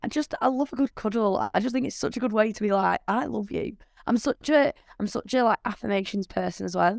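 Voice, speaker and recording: A woman's fairly high voice with vocal fry and ordinary pitch variation, fairly quick, on a very clean recording with a silent background. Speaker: podcast host. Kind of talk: casual chat.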